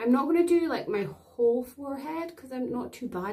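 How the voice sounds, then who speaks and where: In a Scottish accent, a woman speaks with lively intonation. Her tone is dark and mellow. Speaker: beauty vlogger. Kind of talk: product demo tutorial. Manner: casual chatty.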